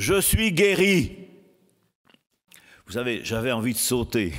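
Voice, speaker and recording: In a very clean recording with a silent background, a man talks very slowly with lively intonation. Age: 80s+. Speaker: preacher. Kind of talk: sermon.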